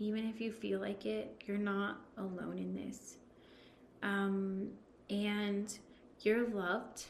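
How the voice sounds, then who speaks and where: At a very slow pace, a woman speaks in a monotone, flat intonation at medium pitch, with audible room echo. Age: 30s. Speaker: domestic abuse survivor. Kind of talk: personal testimony in interview.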